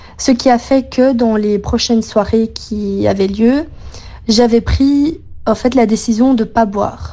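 Speaking very slowly, a woman keeps a fairly high pitch, fairly even intonation and very even loudness. Noticeable background noise is present. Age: 20s. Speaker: interviewee. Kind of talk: recorded testimony.

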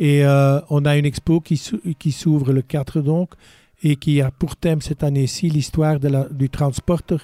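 Speaking fairly slowly in a fairly high pitch, a man keeps a flat monotone and very even loudness, his tone dark and mellow in a dry, close sound with no echo. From Belgium, Brabant. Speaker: museum curator. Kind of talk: radio interview.

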